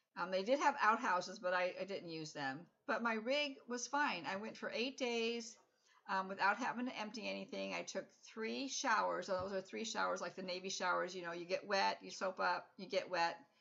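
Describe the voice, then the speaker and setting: Her intonation is lively. The woman's voice carries vocal fry. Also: medium pitch for a woman, moderate pace. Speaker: RV vlogger. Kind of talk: casual vlog monologue. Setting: at home.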